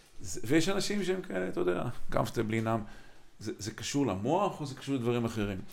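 Amid audible room echo, a man at medium pitch speaks at a fairly quick pace with very wide pitch swings. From Israel, Kiryat Motzkin. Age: 50s. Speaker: podcast host. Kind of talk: interview conversation.

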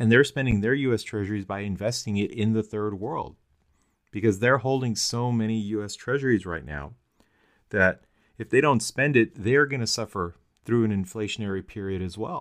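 This is an unremarkable speaking voice with ordinary pitch variation. It moves at a moderate pace. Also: man, medium pitch for a man. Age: 40s. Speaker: podcast host. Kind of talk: casual political discussion.

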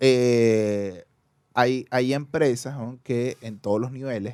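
A man's dark, mellow voice at a medium pitch, with ordinary pitch variation and a Caracas accent. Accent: Venezuelan (Caracas). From Caracas, Venezuela. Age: 30s. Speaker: podcast guest. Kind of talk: casual chat.

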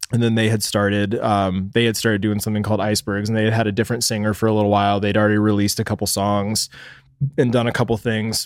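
A man with an American accent speaks very fast at a fairly low pitch, his intonation flat and monotone and his loudness very even. The recording is very clean, with a silent background. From Texas (Dallas). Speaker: videographer and photographer. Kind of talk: casual chat.

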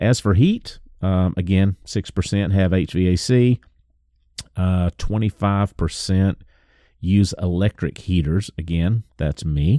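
In a Southern US accent, a man talks at a fairly slow pace with a very deep, low pitch, a dark, mellow tone and ordinary pitch variation, recorded very cleanly against a silent background with a dry, close sound and no echo. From US South. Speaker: woodworker and podcast host. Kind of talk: casual podcast monologue. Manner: animated.

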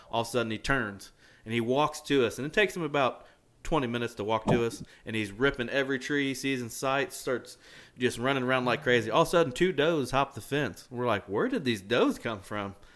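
A man with an American accent and an ordinary speaking voice talks at a fairly quick pace with ordinary pitch variation on a very clean recording with a silent background. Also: medium pitch for a man. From Indiana. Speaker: podcast host. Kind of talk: casual chat. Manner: casual, down-to-earth.

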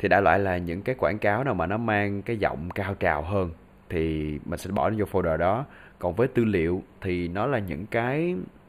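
A man's fairly low voice at a moderate pace, with ordinary pitch variation, on a very clean recording with a silent background. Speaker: voice talent and podcast host. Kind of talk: casual solo podcast tutorial.

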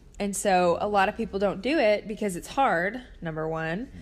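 This is a woman with a plain, everyday voice, pitched in the medium range with ordinary pitch variation. The recording is very clean and the background silent. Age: 20s. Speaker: podcast host and therapist. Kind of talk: casual solo talk. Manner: conversational with many fillers.

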